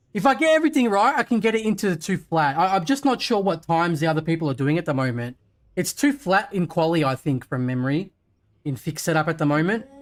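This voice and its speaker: A man talks at a very fast pace in a high voice with very wide pitch swings. The recording is very clean, with a silent background. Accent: Australian. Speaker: sim racing streamer. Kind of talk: live gaming stream commentary. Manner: casual, relaxed.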